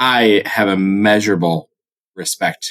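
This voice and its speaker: Ordinary pitch variation shapes the very deep, low pitch of a man's voice. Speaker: podcast host. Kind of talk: casual book discussion. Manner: energetic, fast, talkative.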